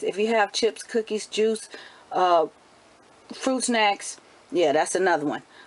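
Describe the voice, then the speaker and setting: Over noticeable background noise, a woman talks in an animated tone with a fairly high pitch and lively intonation. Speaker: homeschooling mom vlogger. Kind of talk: motivational talk to camera.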